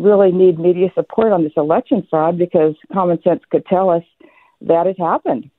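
A woman speaks in an ordinary speaking voice at medium pitch with ordinary pitch variation. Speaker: caller. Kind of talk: call-in talk radio opinion. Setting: phone call.

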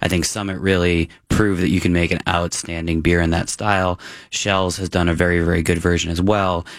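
In an American accent, a man talks at a fairly quick pace with a very deep, low pitch and a monotone, flat intonation, recorded very cleanly against a silent background. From Massachusetts. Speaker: beer writer. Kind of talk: casual chat.

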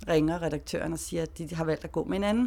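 A woman speaks in an unremarkable speaking voice, fairly low in pitch with ordinary variation. The recording is very clean, with a silent background. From Denmark, Greve south of Copenhagen. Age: 40s. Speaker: freelance journalist. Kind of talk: interview storytelling.

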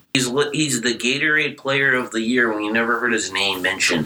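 A man with a medium-pitched voice talks at a moderate pace over noticeable background noise. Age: young. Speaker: student sports editor. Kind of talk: casual chat.

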